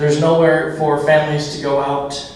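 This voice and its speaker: A man speaks at a moderate pace and a fairly high pitch in a monotone, flat intonation. Audible room echo and noticeable background noise are present. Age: young. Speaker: political candidate. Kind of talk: candidate forum answer.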